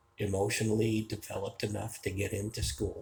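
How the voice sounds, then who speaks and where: The voice has an American accent and is somewhat breathy. Its intonation is flat and monotone, and the pace is fairly slow. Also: man. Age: 60s. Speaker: vlogger. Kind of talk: personal storytelling monologue. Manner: casual, with filler hesitations.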